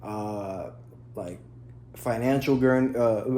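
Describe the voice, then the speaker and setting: A man's dark, mellow tone with fairly even intonation, in audible room echo. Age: 20s. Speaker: lifestyle vlogger. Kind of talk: casual vlog talk to camera. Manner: halting, many fillers.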